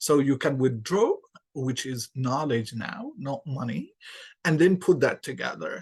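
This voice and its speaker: Against a quiet background, in dry, close sound with no echo, a man with a fairly high pitch speaks in a somewhat breathy voice with ordinary pitch variation. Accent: Arabic. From Yemen. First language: Arabic. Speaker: English lecturer. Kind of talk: podcast interview.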